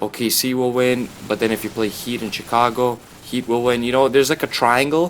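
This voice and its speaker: A man speaking at a fairly quick pace with fairly even intonation. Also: medium pitch for a man. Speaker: gaming and sports commentary youtuber. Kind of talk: casual commentary over gameplay. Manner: fast; casual, filler-heavy.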